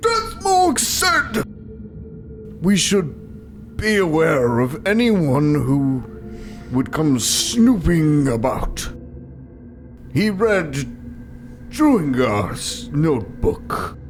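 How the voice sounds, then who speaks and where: Putting on a character voice, a man speaks at a very slow pace with long, frequent pauses over clear background noise. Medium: actual play. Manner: rambling, flirty, stammering.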